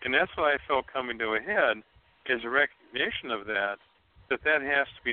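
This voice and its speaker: A man with an American accent talks at a very fast pace with ordinary pitch variation. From Ohio. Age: 60s. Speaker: psychic medium. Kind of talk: psychic reading on call-in radio.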